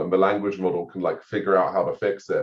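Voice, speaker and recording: A man with an American accent speaks in a somewhat breathy voice. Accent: half English, half American. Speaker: AI policy researcher. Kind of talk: podcast interview.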